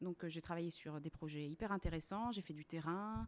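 A woman speaks in a normal speaking voice at a fairly low pitch. Her pace is moderate and her intonation fairly even. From La Réunion. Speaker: website co-founder. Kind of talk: casual interview. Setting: at the host's home.

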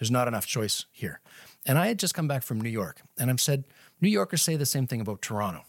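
With a Canadian Maritime accent, the speaker races along at a very fast pace with very wide pitch swings, in a dry, close, echo-free recording with a silent background. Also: man, medium pitch for a man. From Nova Scotia, Canada. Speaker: marketing executive and company co-founder. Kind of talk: casual interview.

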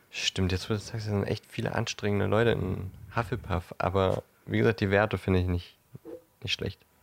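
A man's plain, everyday voice, fairly low in pitch, at a fairly quick pace with fairly even intonation, in a dry, close sound with no echo. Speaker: podcast co-host. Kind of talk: storytelling narration; casual chat. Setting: co-host's apartment.

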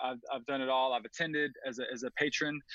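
In a normal speaking voice, a man with an American accent and fairly high pitch talks at a moderate pace, the sound dry and close with no echo against a quiet background. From Atlanta, US South. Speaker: music video director. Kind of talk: casual chat.

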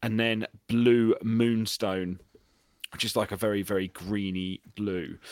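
Speaking at a very slow pace in a British accent, a man uses a fairly low pitch and fairly even intonation, with a dry, close sound and no echo. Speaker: podcast co-host. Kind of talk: casual chat.

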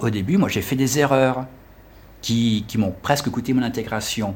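At a moderate pace, a man talks in a medium pitch. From France. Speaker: French teacher and tour guide. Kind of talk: interview. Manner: halting.

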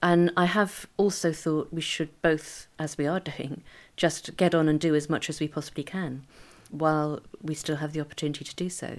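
This woman has a very deep, low pitch and a monotone, flat intonation at a moderate pace. The recording is very clean, with a silent background. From northern England. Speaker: spouse of a person with Parkinson's. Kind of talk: interview. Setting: home recording.

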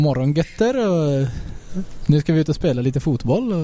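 Noticeable background noise is present. Through it, a man's voice comes through. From Stockholm, Sweden. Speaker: professional footballer. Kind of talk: interview. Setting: bar.

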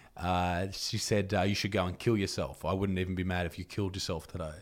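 A man with an Australian accent at a fairly quick pace, on a very clean recording with a silent background. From Australia, Newcastle NSW. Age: 20s. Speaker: comedian and YouTuber. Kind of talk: casual chat. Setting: studio.

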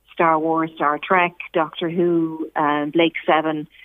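Speaking in an Irish accent, a woman keeps her pitch fairly low. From Ireland, Dundalk. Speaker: scientist and performer. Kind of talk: interview.

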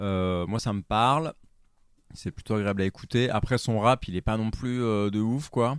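Recorded with a dry, close sound and no echo, a man at medium pitch talks fairly slowly with ordinary pitch variation. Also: very clean recording, silent background. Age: 30s. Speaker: podcaster, music anecdote show. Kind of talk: casual chat. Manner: halting.

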